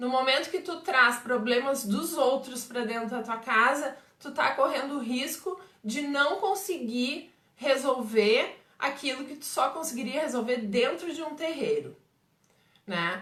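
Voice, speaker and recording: A high-pitched woman with a southern Brazilian accent, lively intonation, big swings in loudness and audible room echo. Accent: gaúcho Brazilian Portuguese. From southern Brazil, Pelotas, Rio Grande do Sul. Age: 40s. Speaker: umbanda medium and teacher. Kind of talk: live stream Q&A talk. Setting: Facebook live stream.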